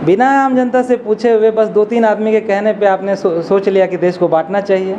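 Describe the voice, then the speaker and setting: A man with a Bihar accent and a high pitch, fairly even intonation and very even loudness, over noticeable background noise. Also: moderate pace. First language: Angika (speaking Hindi). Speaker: academic, Hindi literature scholar. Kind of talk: commemorative speech. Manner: hesitant fillers.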